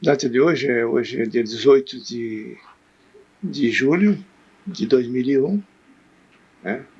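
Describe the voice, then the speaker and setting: With lively intonation and a medium pitch, a man speaks at a very slow pace, leaving long, frequent pauses. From interior of São Paulo state, Brazil (Cafelândia), later northern Paraná. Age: 70s. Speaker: town pioneer, former farmer. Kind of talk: oral history interview.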